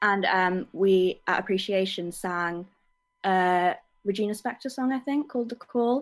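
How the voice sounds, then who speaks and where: A woman with an English accent talks at a fairly slow pace, at a medium pitch with ordinary pitch variation. The recording is very clean and the background silent. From England. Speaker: camp photographer. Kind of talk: casual interview. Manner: hesitant.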